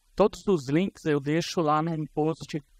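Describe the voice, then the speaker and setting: Against a quiet background with a dry sound and no echo, a man speaks very slowly at a fairly high pitch. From Brazil, ABC region of São Paulo. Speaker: conference speaker on information security. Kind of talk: conference talk. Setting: stage with audience. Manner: casual, with hesitations. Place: hall.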